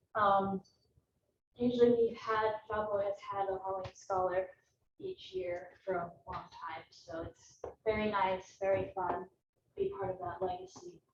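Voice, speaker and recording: Soft-spoken and monotone, with flat intonation, a woman talks at medium pitch and a fairly slow pace, leaving long, frequent pauses. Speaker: meteorology student. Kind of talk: student presentation. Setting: classroom with Zoom stream.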